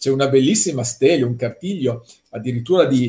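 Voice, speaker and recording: A man's somewhat breathy voice holds a medium pitch and shows ordinary pitch variation. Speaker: art economist. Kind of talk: conference talk.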